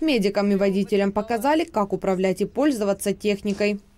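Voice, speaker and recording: The recording is very clean, with a silent background. A woman speaks at a fairly quick pace with lively intonation. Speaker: news reporter. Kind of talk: news reporting voice-over.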